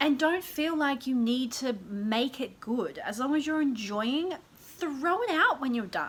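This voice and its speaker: A woman speaks at a moderate pace in a high, animated voice with lively intonation. Noticeable background noise runs behind her. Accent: Australian. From Australia. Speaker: lifestyle YouTuber. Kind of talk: casual vlog talk to camera.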